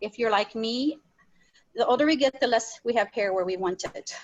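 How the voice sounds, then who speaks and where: A woman with a normal speaking voice talks at a fairly high pitch. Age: 60s. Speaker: makeup demonstrator. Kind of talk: tutorial. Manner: casual.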